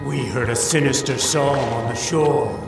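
Someone performs a put-on character voice. Loud music plays in the background, and there is a clear echo. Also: man, medium pitch for a man, moderate pace. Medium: audio drama. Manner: calm, incantatory.

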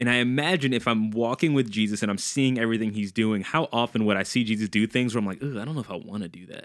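In an American accent, the speaker talks at a very fast pace with hardly any pauses and ordinary pitch variation, on a very clean recording with a silent background. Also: man, medium pitch for a man. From US South, New Orleans, Louisiana. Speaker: youth pastor, podcast co-host. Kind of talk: casual chat. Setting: studio.

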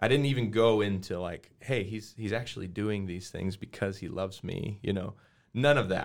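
At a moderate pace, a man talks with an American accent, fairly low pitch and ordinary pitch variation. He has an ordinary speaking voice. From Colorado, US. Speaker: worship pastor. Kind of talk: casual interview, personal testimony.

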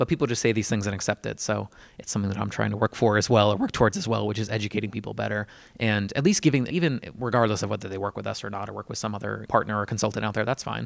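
Vocal fry runs through very fast speech with fairly even intonation, recorded very cleanly over a silent background. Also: man, fairly low pitch for a man. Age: 30s. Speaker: podcast host. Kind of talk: casual interview.

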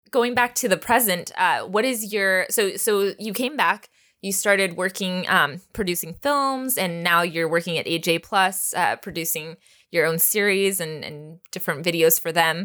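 In a very clean recording with a silent background, a woman with an American accent speaks at a moderate pace, her medium-pitched voice bright and sharp with ordinary pitch variation. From Texas. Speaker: podcast host and language teacher. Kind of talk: scripted narration; interview.

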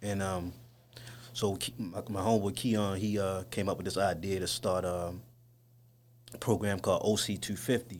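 A man speaks at a fairly low pitch and a moderate pace, his intonation fairly even. He leaves long, frequent pauses. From East Baltimore, Maryland, US. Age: 30s. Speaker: youth outreach worker. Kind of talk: casual interview.

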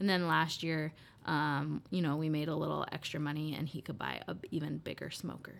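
With an American accent and vocal fry, a woman speaks at a very deep, low pitch. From Iowa (Des Moines, Beaverdale). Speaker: college alumna, coffee company employee. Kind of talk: casual interview.

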